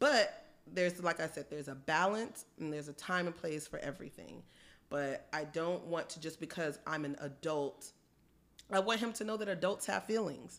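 On a very clean recording with a silent background, a woman with a plain, everyday voice speaks at a moderate pace, her pitch fairly low with ordinary pitch variation. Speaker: podcast co-host. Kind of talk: casual chat.

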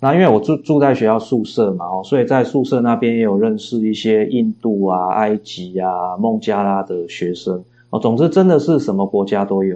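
A man speaks at a moderate pace in a fairly low pitch, his dark, mellow tone carrying ordinary pitch variation. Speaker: philosophy professor and novelist. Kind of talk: interview. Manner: frequent hesitation fillers.

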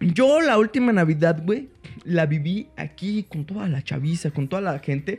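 Music plays in the background as a man with a Mexican accent talks at a moderate pace in a high voice with lively intonation. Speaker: comedy podcast host. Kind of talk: casual chat.

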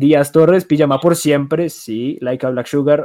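A dark, mellow tone marks the voice. It belongs to a man. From Colombia (coastal and Medellín family). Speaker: podcast host. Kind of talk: casual chat.

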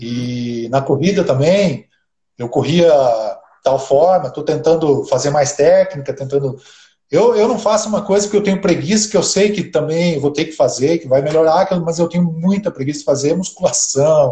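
His pitch is fairly high for a man. He speaks at a moderate pace with ordinary pitch variation. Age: 50s. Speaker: amateur triathlete. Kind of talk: casual interview on a live stream.

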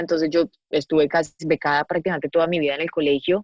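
Very fast speech comes from a woman. She has a fairly low voice. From Colombia, Medellín. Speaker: actress and producer. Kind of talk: casual interview chat.

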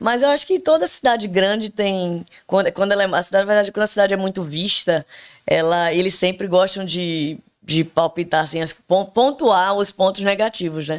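Recorded very cleanly against a silent background, a woman speaks at a moderate pace with ordinary pitch variation. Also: medium pitch for a woman. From Brazil, Recife (Pernambuco). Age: 30s. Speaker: podcast guest. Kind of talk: casual chat. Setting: home bathroom studio.

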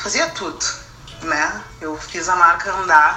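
Noticeable background noise and audible room echo surround the recording. A woman speaks at a fairly low pitch with fairly even intonation. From southern Brazil, Rio Grande do Sul. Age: 30s. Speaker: fashion designer and illustrator. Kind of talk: interview testimony.

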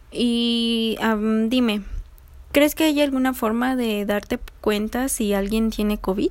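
A woman with a fairly high voice talks very slowly, her pitch varying in an ordinary way. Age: 20s. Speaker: psychology student interviewer. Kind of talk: research interview.

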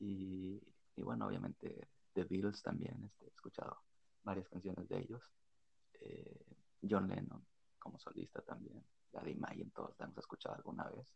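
Pausing often and at length, a man talks at a moderate pace. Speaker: podcast co-host. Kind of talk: casual chat.

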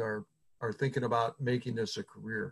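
Somewhat breathy, a man with an American accent talks at a moderate pace. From Indiana (Fort Wayne). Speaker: podcast host, association executive director. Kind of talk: casual interview.

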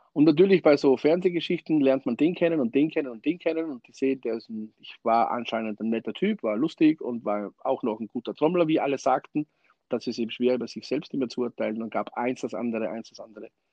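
Very fast, lively speech from a man at medium pitch, with hardly any pauses and big swings in loudness. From Austria. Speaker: drummer. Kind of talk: interview.

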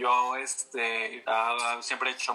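A man with a Mexican accent speaks at a very slow pace. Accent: Mexican Spanish (Jalisco). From Mexico, Guadalajara (Jalisco). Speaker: fashion designer and creative director. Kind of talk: casual interview.

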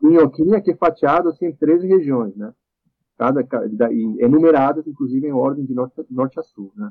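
A man with a Spanish accent speaks at a moderate pace, his fairly high voice carrying lively intonation. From Chile. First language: Spanish (speaking Portuguese). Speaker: composer. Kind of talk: casual interview.

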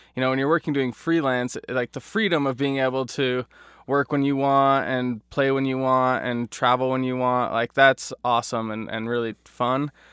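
A man with an American accent has a normal speaking voice, medium pitch and fairly even intonation at a moderate pace. The recording is very clean with a silent background, and the sound is dry and close with no echo. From US, Idaho (Boise area). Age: 20s. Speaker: video editor and writer, amateur comedian. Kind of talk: casual interview chat.

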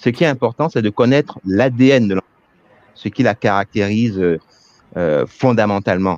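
The sound is dry and close with no echo, and the speaker uses ordinary pitch variation along with long, frequent pauses. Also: man, fairly low pitch for a man, moderate pace. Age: 40s. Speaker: headhunter. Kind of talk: webinar interview. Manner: hesitant, many fillers.

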